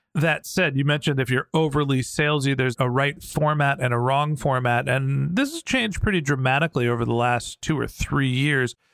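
With hardly any pauses, a man talks in an ordinary speaking voice with fairly even intonation on a very clean recording with a silent background. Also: fairly high pitch for a man. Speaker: podcast host. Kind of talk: interview.

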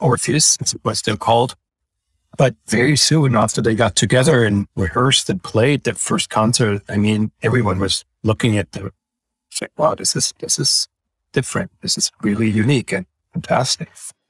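A man talks at a moderate pace with lively intonation and a somewhat breathy voice. The recording is very clean and silent behind him, with a dry, close sound and no echo. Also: medium pitch for a man. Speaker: orchestra executive director. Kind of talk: casual interview conversation.

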